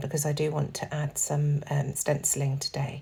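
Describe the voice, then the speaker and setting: A woman speaks in a very deep, low voice with a dark, mellow tone. She sounds somewhat breathy and keeps a moderate pace. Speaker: scrapbooking crafter. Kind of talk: tutorial. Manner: casual.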